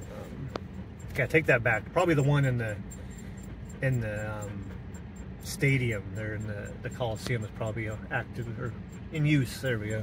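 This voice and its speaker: A man with an American accent, ordinary pitch variation and long, frequent pauses, against noticeable background noise. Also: moderate pace, dry sound with no echo. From Oregon, US. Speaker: travel vlogger. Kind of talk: casual vlog narration while driving; casual vlog chat. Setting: in a car. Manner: relaxed, with frequent laughs and fillers. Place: car. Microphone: phone near.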